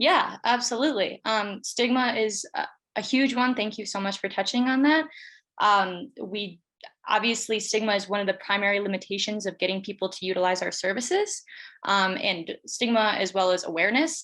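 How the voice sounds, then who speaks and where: Fairly high pitch belongs to this woman. It varies in an ordinary way. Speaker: student pitching a food pantry project. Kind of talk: pitch presentation with Q&A. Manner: fast.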